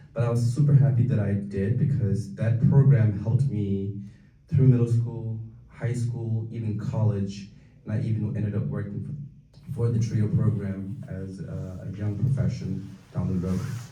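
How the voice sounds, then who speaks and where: There is audible room echo as a man speaks at medium pitch in a Tibetan accent. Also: ordinary pitch variation, moderate pace. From Tibetan community, raised in Minnesota from age 9. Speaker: community speaker. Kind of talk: talk to an audience. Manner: halting, many fillers.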